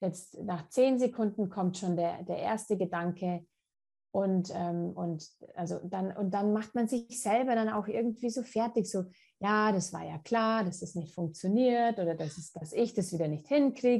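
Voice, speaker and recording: A dark, mellow, somewhat breathy voice at a fairly slow pace over a quiet background. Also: woman, medium pitch for a woman, ordinary pitch variation. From Munich, Germany. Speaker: naturopath and author. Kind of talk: interview conversation. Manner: halting, many fillers and repetitions.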